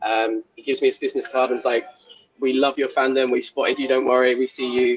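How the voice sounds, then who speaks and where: Music plays in the background as a man speaks with a southern English accent. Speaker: football fan. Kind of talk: interview. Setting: stadium suite.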